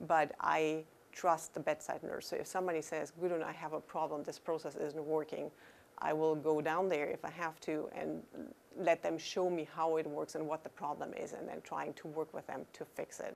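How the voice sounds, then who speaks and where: Speaking at a moderate pace with a German accent, a woman uses a very deep, low voice in a monotone, flat way. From Germany. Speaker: chief nursing officer. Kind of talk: interview; interview answer. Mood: calm, earnest. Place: office.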